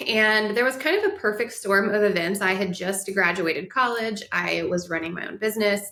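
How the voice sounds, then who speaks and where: Noticeable background noise sits behind a woman speaking at a fairly quick pace. Her medium pitch varies in an ordinary way, and she barely pauses. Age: 30s. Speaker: wellness guest sharing weight-loss story. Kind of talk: podcast interview.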